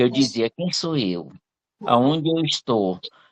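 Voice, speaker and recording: A man speaks at a medium pitch. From Teresina, Piauí, northeastern Brazil. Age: 60s. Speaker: retired civil servant, audience participant. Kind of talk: personal testimony in live Q&A.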